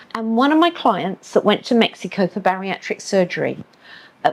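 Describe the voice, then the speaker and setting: A woman's fairly high voice with an English accent and lively intonation. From England. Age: 70s. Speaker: medical tourism company owner. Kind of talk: podcast interview.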